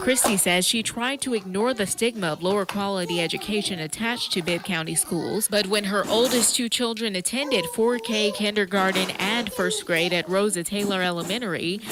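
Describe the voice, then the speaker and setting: Over noticeable background noise, a woman talks at a fairly quick pace with hardly any pauses. Her medium-pitched voice has ordinary pitch variation and very even loudness. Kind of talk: TV news package voiceover.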